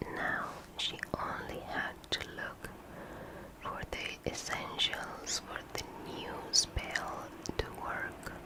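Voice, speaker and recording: Someone whispers at a very slow pace with long, frequent pauses over noticeable background noise. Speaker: ASMR artist. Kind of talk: ASMR story reading. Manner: whispered.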